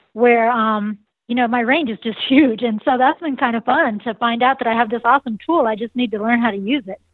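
Fairly high-pitched and nasal, a woman speaks at a fairly quick pace with fairly even intonation. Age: 40s. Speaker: vocalist and saxophonist in a band. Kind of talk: casual interview chat.

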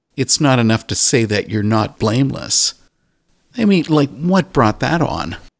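An unremarkable speaking voice from a man at medium pitch, with very even loudness, on a very clean recording against a silent background. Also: lively intonation. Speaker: radio host. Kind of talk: interview.

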